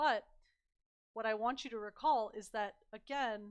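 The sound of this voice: A woman speaks at a fairly slow pace and medium pitch, with ordinary pitch variation and a clear, smooth tone.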